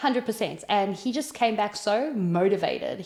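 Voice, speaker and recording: With a South African accent, a woman speaks in an animated tone at medium pitch with ordinary pitch variation, on a very clean recording with a silent background. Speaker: entrepreneur. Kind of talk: interview testimony.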